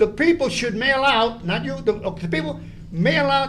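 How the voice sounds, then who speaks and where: A loud man speaks with very wide pitch swings, and room echo is audible. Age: 80s+. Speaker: public commenter at school board meeting. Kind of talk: public comment speech. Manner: animated.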